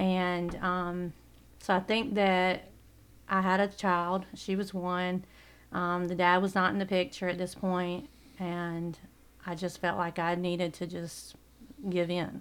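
In a Southern US accent, the speaker talks very slowly in a monotone, flat intonation with long, frequent pauses, in a very clean recording with a silent background. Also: woman, fairly low pitch for a woman. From South Carolina, US South. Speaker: church member. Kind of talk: testimony.

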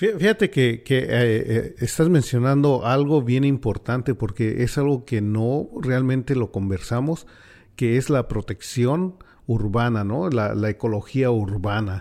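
A man with a Mexican accent, very slow pace and dark, mellow tone, on a very clean recording with a silent background. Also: medium pitch for a man, ordinary pitch variation. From Mexico City. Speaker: community radio host. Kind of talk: radio roundtable discussion. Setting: radio studio.

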